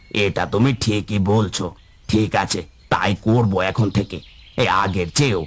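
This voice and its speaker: A man puts on a cartoonish character voice, fairly low in pitch. He speaks at a fairly slow pace with fairly even intonation. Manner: anxious, fretful.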